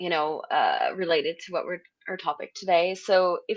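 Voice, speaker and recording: A woman speaks at a moderate pace. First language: French. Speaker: podcast host, UX designer. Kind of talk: live podcast interview.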